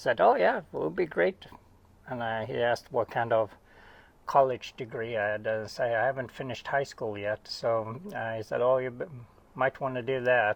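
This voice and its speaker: With a Swedish accent, a man speaks at a moderate pace, his medium pitch showing ordinary variation. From Sweden. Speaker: oceanographer. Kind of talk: casual interview. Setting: at home.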